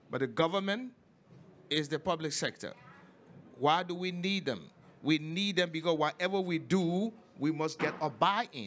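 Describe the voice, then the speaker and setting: A man with a high voice speaks at a moderate pace, leaving long, frequent pauses over light background noise. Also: ordinary pitch variation. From Liberia. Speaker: government climate official; speaker. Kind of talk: panel discussion. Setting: stage with audience. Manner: formal. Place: hall. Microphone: handheld.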